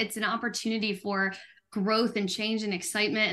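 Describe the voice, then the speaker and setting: A bright, sharp tone over a quiet background. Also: woman. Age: 30s. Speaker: franchise business executive. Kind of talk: panel discussion.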